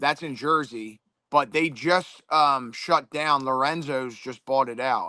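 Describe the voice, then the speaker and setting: In a Philadelphia accent, a speaker talks at a very slow pace in a bright, sharp tone with fairly even intonation over a quiet background. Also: man, fairly high pitch for a man. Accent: Delco (Philadelphia). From Delaware County, Pennsylvania (Philadelphia area). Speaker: MMA fighter. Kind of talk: casual interview chat.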